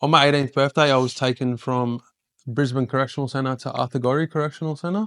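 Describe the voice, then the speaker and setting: This speaker talks with an Australian accent and fairly even intonation. The sound is dry and close, with no echo. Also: man. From Queensland, Australia. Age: 30s. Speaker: podcast host and ex-prisoner speaker. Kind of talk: public talk. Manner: halting.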